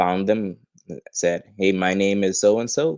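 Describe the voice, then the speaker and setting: In a dry, close sound with no echo, a man speaks in a very deep, low pitch with flat, monotone intonation. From Bahamas. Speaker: professional wrestler. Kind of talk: interview.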